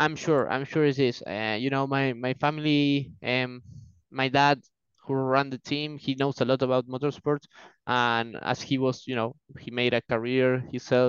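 Speaking at a moderate pace in an Argentine accent, a man holds a medium pitch with monotone, flat intonation. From Argentina. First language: Spanish. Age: 20s. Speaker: racing driver. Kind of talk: casual interview. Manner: fluent but hesitant, filler words.

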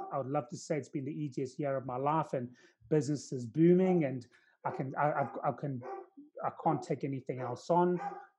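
A man's fairly high, somewhat breathy voice with a dark, mellow tone at a moderate pace. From South Africa. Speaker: recruiter. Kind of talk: casual chat. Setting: video call.

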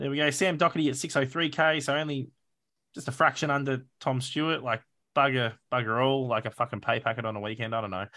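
A man with an Australian accent talks at a very fast pace in a bright, sharp tone and a medium pitch, on a very clean recording with a silent background. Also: ordinary pitch variation. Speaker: fantasy football podcast host. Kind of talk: casual chat. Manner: animated.

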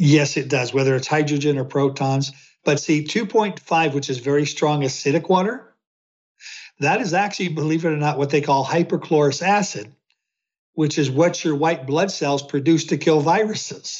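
A plain, everyday voice from a man, fairly high in pitch, with ordinary pitch variation and a moderate pace. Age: 60s. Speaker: health researcher. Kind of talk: interview answers.

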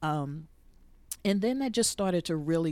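The voice has a dark, mellow tone, lively intonation and an American accent. The recording is very clean, with a silent background. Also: woman. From US, Jersey City, New Jersey. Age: 50s. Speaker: podcast host and former radio personality. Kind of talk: casual interview.

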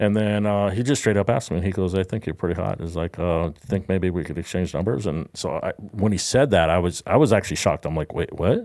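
With hardly any pauses, a man with a very deep, low pitch talks at a very fast pace in a very clean recording with a silent background. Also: ordinary pitch variation. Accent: American. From Southern California. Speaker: podcast co-host. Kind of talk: casual chat.

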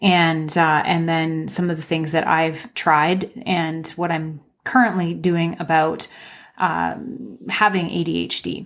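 A woman talks very slowly at a fairly low pitch, her intonation fairly even. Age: 40s. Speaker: podcast host. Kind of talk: solo podcast monologue, personal sharing. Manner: conversational, with many filler words.

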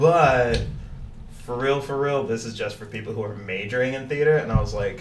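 A man talks at a fairly quick pace with ordinary pitch variation. There is noticeable background noise. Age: 20s. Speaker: martial artist and amateur fighter. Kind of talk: casual chat.

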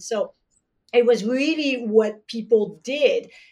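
Dark, mellow tone from a woman with a fairly high pitch and a French accent. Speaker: traditional Chinese medicine practitioner. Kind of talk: podcast interview.

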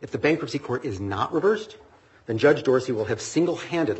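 A somewhat breathy man speaks with very wide pitch swings. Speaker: law professor. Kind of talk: appellate oral argument. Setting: courtroom.

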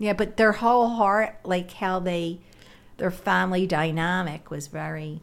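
Speaking at a fairly slow pace, a woman has an ordinary speaking voice. Her pitch is medium, with ordinary pitch variation. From Philadelphia (West Philly). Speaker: retired special ed worker. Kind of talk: casual chat.

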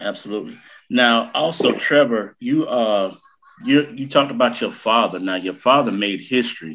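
Speaking at a moderate pace, a man has a Southern US accent. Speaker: podcast host. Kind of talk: casual chat. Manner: animated.

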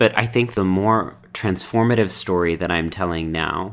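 In a very clean recording with a silent background, a man speaks with an American accent. His pitch is very deep and low, and his pace fairly slow. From Texas. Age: 30s. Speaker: writer and performer. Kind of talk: casual chat.

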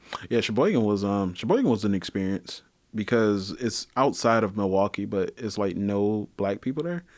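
A man with a Detroit accent, fairly low-pitched, with ordinary pitch variation and a moderate pace. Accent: Detroit Michigan Midwest. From Detroit, Michigan. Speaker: guest. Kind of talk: casual chat.

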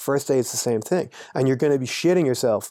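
A very fast-talking man with an Irish accent, medium pitch and a dark, mellow tone. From Ireland. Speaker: anti-poaching trainer. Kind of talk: casual interview.

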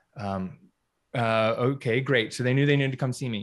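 A man's normal speaking voice with an American accent, medium in pitch with ordinary pitch variation, at a fairly quick pace over a quiet background. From US South, North Carolina. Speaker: physical therapist and business coach. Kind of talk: interview.

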